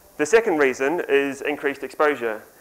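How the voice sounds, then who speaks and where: The recording is very clean, with a silent background. A man with a New Zealand accent speaks at a fairly high pitch and a moderate pace. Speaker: software developer and author. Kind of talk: conference talk. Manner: conversational with frequent ums.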